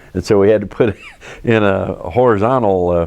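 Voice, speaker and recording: A man talks at a moderate pace with fairly even intonation. His tone is dark and mellow. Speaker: lifelong German Village resident, oral history interviewee. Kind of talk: oral history interview answer, recalling childhood.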